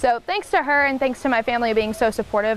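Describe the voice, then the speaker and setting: A woman with an Oklahoma accent, fairly high-pitched and very fast, over noticeable background noise. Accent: Southwest Oklahoma. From Southwest Oklahoma, Lawton. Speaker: country musician. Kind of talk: interview.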